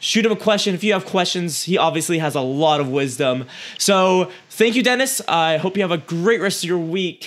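A man's high-pitched, energetic voice with lively intonation at a moderate pace. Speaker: podcast host. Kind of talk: interview.

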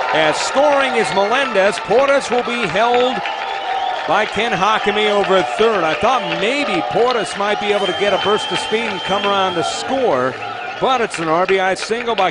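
A man's high voice moves at a moderate pace with lively intonation, noticeable background noise behind him. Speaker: baseball radio announcer. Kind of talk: live play-by-play sports commentary, baseball highlights. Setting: radio broadcast clips of a game. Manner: excitable, rising to a shout on home runs and walk-off win.

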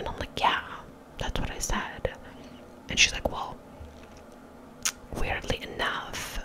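A woman whispers at a fairly slow pace. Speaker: ASMR creator. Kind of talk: casual storytelling to camera. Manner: whispered, soft. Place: bathroom. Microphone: studio mic.

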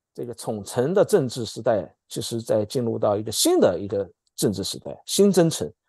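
Over a quiet background, a man speaks at a moderate pace with big swings in loudness, the sound dry with no echo. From mainland China. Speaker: political scientist; political commentator guest. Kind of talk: political commentary discussion. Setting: video call. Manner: halting, many fillers and repetitions. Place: home room. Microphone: earbuds.

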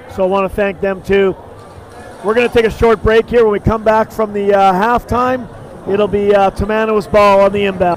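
A man talks at a moderate pace in a high, monotone, flat voice over noticeable background noise. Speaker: basketball play-by-play commentator. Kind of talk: live sports commentary. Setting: gym broadcast of a school game.

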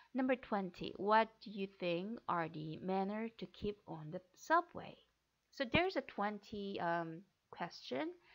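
With a Korean accent, a woman speaks at a very slow pace. Her intonation is lively. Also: medium pitch for a woman, big swings in loudness, quiet background. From South Korea. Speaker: flight attendant interview coach. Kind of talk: tutorial. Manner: halting.

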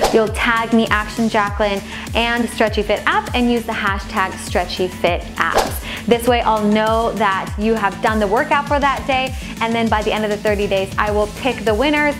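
Clear music plays in the background while a woman talks at a moderate pace with ordinary pitch variation. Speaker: fitness instructor. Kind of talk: casual vlog chat. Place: home room. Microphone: lapel.

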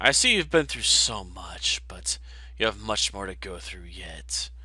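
A man performs a put-on character voice over noticeable background noise. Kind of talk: prophetic, solemn. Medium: game stream. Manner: grave, ominous.

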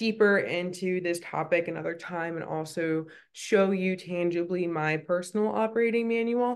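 With a fairly low pitch and ordinary pitch variation, a woman talks at a moderate pace with hardly any pauses. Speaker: coach. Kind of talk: casual vlog chat. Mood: warm, upbeat. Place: home room. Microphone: phone near.

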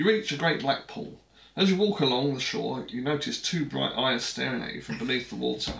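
With a British accent, a man talks at a fairly quick pace in a fairly high pitch, and audible room echo surrounds his voice. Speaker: board game video host. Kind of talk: casual chat. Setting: home, recorded with action cam. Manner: rambling, hesitant. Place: home room.

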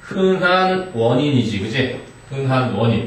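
A man's lively intonation with audible room echo and light background noise. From South Korea. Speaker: English teacher; teacher. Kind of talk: classroom lecture. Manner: casual, interactive with students. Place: classroom. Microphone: camera far.

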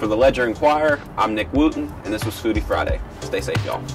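A man keeps up a fairly quick pace while clear music sounds behind him. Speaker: news food reporter. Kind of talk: food review presentation. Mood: upbeat, enthusiastic. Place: street. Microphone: lapel.

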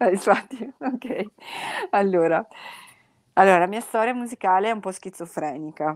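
A woman speaks with a Venetian accent and lively intonation, leaving long, frequent pauses, in a very clean recording with a silent background. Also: medium pitch for a woman, moderate pace. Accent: Venetian accent, noticeable. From Veneto, Italy (industrial area, Pasubio). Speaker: blues musician, one-woman band. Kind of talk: podcast interview. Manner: casual, with hesitations.

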